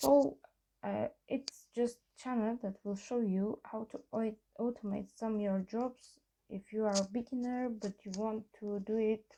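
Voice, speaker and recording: A woman's medium-pitched voice with a dark, mellow tone and a non-native accent. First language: not English. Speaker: programming tutorial maker. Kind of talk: tutorial. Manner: halting, many fillers.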